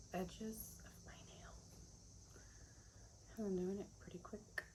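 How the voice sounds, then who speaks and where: A woman talks very slowly and soft-spoken while noticeable background noise runs behind her. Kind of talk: casual talk to camera. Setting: outdoors.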